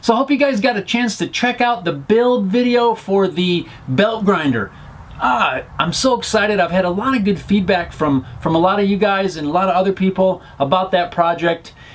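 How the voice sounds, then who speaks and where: The intonation is lively, and noticeable background noise can be heard. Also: man, high pitch for a man. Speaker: DIY workshop vlogger. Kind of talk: casual vlog shop update. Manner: fast.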